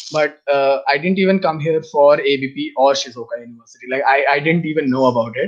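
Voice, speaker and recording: A man with an Indian accent, fairly high in pitch with ordinary pitch variation, at a fairly quick pace with hardly any pauses. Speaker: international master's student. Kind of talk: casual interview chat.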